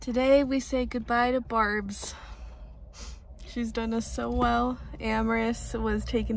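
A woman speaks at a fairly slow pace. The sound is dry with no echo, and there is light background noise. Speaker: mother vlogger. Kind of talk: casual vlog chat. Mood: nostalgic, fond farewell. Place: car. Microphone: phone near.

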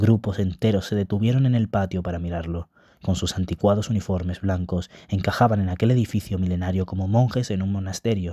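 Over a very clean recording with a silent background, the speaker's somewhat breathy voice has a dark, mellow tone, a fairly quick pace and ordinary pitch variation. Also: man. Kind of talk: audiobook reading aloud of a fantasy novel.

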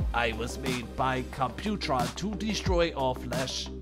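A put-on character voice at a fairly slow pace over loud background music.

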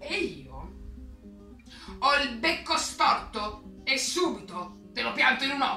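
A woman uses a put-on character voice with big pitch swings and a bright, sharp tone. She speaks slowly over faint background music, and the room echo is audible. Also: fairly high pitch for a woman.

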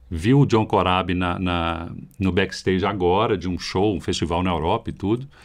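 Against a quiet background, a man with a very deep, low voice speaks at a moderate pace with ordinary pitch variation. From Brazil. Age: 50s. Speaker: heavy metal guitarist; podcast guest. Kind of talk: casual chat. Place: studio. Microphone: studio mic.

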